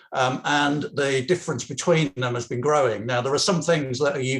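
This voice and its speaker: A man with an English accent talks at a moderate pace in a somewhat breathy voice of medium pitch with ordinary pitch variation. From England. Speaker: political activist. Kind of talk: political talk at online meeting. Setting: video call. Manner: halting, many fillers and restarts.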